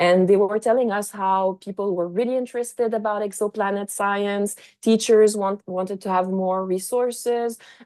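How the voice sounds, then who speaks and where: Speaking at a moderate pace with hardly any pauses, a woman with a Quebec accent and a dark, mellow tone holds a medium pitch in a monotone, flat intonation against a quiet background. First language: French. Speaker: astrophysicist and science educator. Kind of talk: pre-recorded conference presentation. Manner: halting, many fillers.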